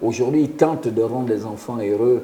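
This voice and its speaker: A man speaks slowly at a medium pitch, with ordinary pitch variation. Noticeable background noise runs under his fairly slow delivery. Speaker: former international footballer and youth football coach. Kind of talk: radio interview. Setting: radio studio. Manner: halting, repeats words.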